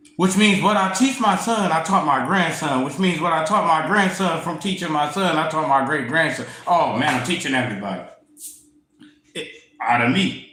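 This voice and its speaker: A man with a fairly high pitch speaks at a moderate pace in an animated tone with lively intonation. Noticeable background noise and audible room echo surround him. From US Midwest, Toledo, Ohio. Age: 40s. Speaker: tarot reader. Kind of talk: casual livestream monologue. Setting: livestream.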